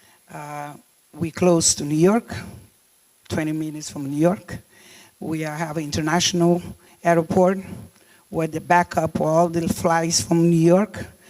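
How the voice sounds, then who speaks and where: Speaking with a Cape Verdean accent, a woman talks at a fairly slow pace in a fairly low pitch, with fairly even intonation and long, frequent pauses. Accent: non-native, Cape Verdean. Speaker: deputy mayor. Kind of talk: conference speech. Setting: summit stage. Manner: halting, many fillers.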